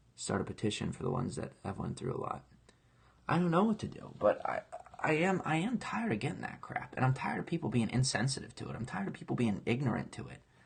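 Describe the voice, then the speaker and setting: A man races through his words at a very fast pace, with noticeable background noise behind him. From grew up in foster care. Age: 20s. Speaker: online entertainer, live streamer. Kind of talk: casual live stream chat. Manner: animated, impassioned.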